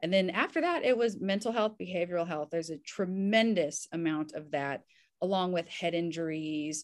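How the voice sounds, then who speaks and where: Speaking at a moderate pace, a woman with an American accent shows ordinary pitch variation. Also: fairly low pitch for a woman. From US South, Kentucky and Indiana. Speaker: physician and army veteran. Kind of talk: interview.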